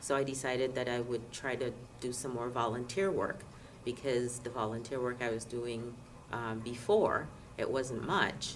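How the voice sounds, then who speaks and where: This woman's voice sits very deep and low, with fairly even intonation. Noticeable background noise is present. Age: 50s. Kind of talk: interview answer. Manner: hesitant, many fillers.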